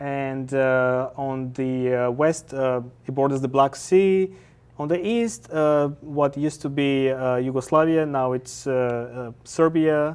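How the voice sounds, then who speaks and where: Very slowly, a man with a fairly high pitch and a Bulgarian accent speaks with ordinary pitch variation. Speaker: artist and activist. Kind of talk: TV interview. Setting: TV studio. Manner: halting, many fillers.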